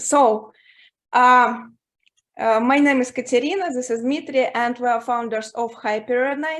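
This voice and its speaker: Recorded very cleanly against a silent background, a woman speaks with a high voice. She goes at a fairly slow pace, her intonation fairly even. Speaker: startup founder pitching. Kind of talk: startup pitch. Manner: halting, many fillers.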